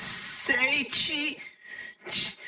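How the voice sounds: The speaker uses a put-on character voice with a bright, sharp tone. Delivery is very slow, with little pitch movement. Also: woman, high pitch for a woman.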